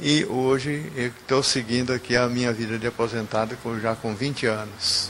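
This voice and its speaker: A man with a medium pitch and ordinary pitch variation talks at a moderate pace against noticeable background noise. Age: 70s. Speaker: retired railway station master. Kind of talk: testimony.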